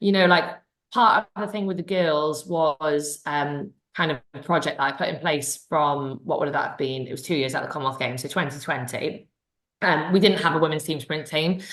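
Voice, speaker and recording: Her voice is very deep and low. The woman speaks in a Welsh accent. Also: ordinary pitch variation. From Wales. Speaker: sprint cycling coach. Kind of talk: Q&A session. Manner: fast.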